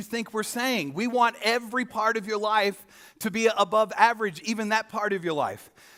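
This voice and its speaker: A man speaks in a raised, projected voice at a moderate pace, high-pitched with a bright, sharp tone and ordinary pitch variation. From Australia. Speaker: pastor. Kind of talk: sermon. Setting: church stage with audience. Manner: casual, conversational.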